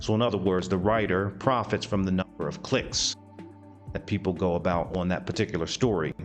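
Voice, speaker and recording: A man speaks while music plays in the background. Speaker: VTuber news commentary host. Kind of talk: comedic news commentary to camera.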